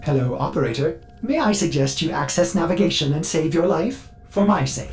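In a robotic, put-on character voice, the speaker goes at a moderate pace over clear background noise.

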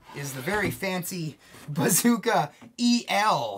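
There is music in the background. Over it, a man talks with lively intonation. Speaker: product reviewer. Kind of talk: casual product review chat. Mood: upbeat, laughs often. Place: studio.

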